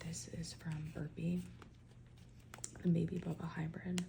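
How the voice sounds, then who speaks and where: Whispering and soft-spoken, a woman talks at a fairly slow pace. Background noise is noticeable. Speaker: ASMR creator, home gardener. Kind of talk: soft-spoken ASMR ramble. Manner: soft-spoken, whispering, chatty.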